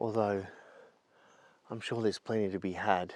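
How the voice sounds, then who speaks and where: A man with an Australian accent speaks at a moderate pace in a monotone, flat intonation. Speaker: landscape photographer vlogger. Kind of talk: casual vlog monologue. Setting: outdoors in forest. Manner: quiet; hesitant.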